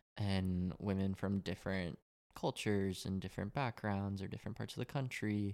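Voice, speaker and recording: A man with an American accent has a plain, everyday voice at a fairly low pitch. His intonation is fairly even on a very clean recording with a silent background. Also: moderate pace. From Colorado, suburban. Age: 20s. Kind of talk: casual chat.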